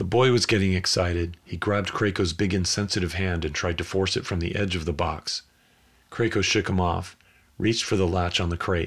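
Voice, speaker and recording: On a very clean recording with a silent background, a man speaks at a moderate pace in a somewhat breathy, very deep, low pitch. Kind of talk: audiobook narration of a literary short story, read aloud.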